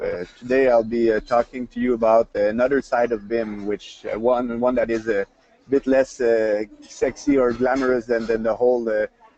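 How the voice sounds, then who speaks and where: A man of medium pitch with a Quebec accent, dry and close with no echo, amid noticeable background noise. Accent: Québécois French accent in English. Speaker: industry presenter. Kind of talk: webinar presentation. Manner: fast; animated.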